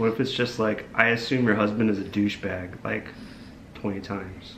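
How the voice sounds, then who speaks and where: A man with a fairly low voice talks at a moderate pace with fairly even intonation, and room echo can be heard. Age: 40s. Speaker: vlogger's husband. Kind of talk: casual chat.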